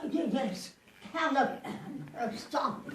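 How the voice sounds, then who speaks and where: A female-sounding voice puts on a character voice, pitched high. There's a slight echo. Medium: stage play. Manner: earnest, pleading.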